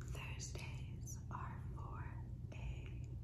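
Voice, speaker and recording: A woman speaks very slowly over loud background noise. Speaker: ASMR creator. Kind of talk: casual ASMR intro to camera. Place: home room. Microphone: phone near.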